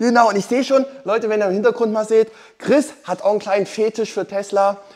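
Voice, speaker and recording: Speaking at a fairly quick pace, a man uses a high-pitched voice. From eastern Germany. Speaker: car YouTuber. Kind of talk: casual vlog talk to viewers. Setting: in a car, in a workshop in Switzerland. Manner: animated, enthusiastic.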